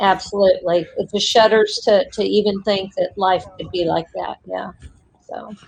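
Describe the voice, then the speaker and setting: A woman talks in an American accent at a moderate pace. Her loudness swings a lot. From Indiana. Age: 50s. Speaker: live stream participant. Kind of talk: casual chat.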